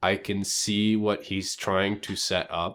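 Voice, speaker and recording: This man talks at a very slow pace in a fairly low pitch, his intonation monotone and flat. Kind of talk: casual commentary on online roleplay politics.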